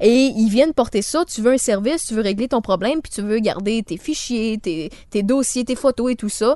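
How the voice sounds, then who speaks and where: A woman's fairly high voice, recorded dry and close with no echo, moves at a moderate pace with ordinary pitch variation. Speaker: podcast host. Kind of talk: casual chat. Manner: mock newsreader voice for headlines.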